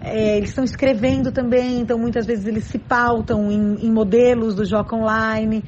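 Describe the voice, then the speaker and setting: With hardly any pauses, a woman talks at a fairly high pitch in a monotone, flat delivery, and audible room echo surrounds her. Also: moderate pace. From São Paulo, Brazil. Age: 40s. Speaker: schoolteacher. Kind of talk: interview.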